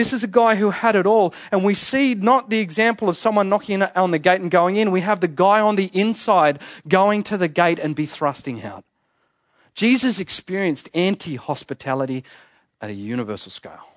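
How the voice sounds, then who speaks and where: In an Australian accent, a man speaks at a high pitch and moderate pace with lively intonation. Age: 30s. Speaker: pastor. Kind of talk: sermon. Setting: church.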